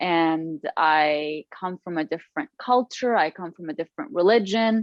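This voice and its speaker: A woman with an Arabic accent speaks at a fairly low pitch. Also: lively intonation, moderate pace. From Lebanon. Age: 30s. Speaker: author. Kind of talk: podcast interview.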